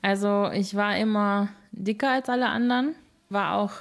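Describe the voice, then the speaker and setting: A woman speaks with a plain, everyday voice, pitched fairly high with ordinary pitch variation. The recording is very clean, with a silent background. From Germany, Moers area (born in England). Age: 20s. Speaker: singer. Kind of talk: interview.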